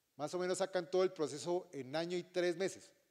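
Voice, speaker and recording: A man with a high pitch talks at a fairly quick pace. The background is quiet. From Colombia. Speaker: retired army officer and language department director; presenter. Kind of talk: orientation talk to students. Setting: auditorium with student audience. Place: stage.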